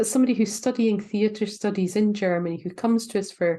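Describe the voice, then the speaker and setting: A woman with a Scottish accent has a dark, mellow tone. She talks at a moderate pace against a quiet background. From Scotland. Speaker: university lecturer. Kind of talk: informational talk to prospective students. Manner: hesitant, many fillers.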